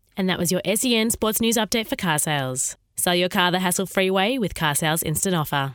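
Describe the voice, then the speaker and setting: Talking at a very fast pace, a woman with an Australian accent uses a medium pitch and ordinary pitch variation. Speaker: sports news reader. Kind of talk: newsreading: brisk, scripted sports bulletin with sponsor tag. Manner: brisk, crisp and formal; even, energetic headline-style delivery.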